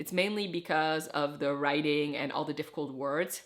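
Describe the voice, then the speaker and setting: Here a woman speaks with a non-native accent. Her pace is moderate. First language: not English. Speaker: book vlogger. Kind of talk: reading vlog review. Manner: casual, conversational.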